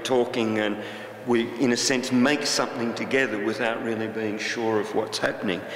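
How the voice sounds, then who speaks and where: Amid noticeable background noise and audible room echo, a man with an Australian accent speaks at a fairly quick pace in a medium pitch with monotone, flat intonation. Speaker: artist. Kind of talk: talk to an audience. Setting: stage with audience. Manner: halting.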